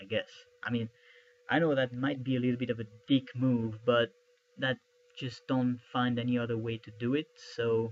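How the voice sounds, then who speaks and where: A man with a French accent, medium pitch, monotone, flat intonation, long, frequent pauses, and a dry, close sound with no echo. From France. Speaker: YouTuber, film theory commentator. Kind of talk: casual video commentary. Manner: slow; halting. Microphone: poor camera recording.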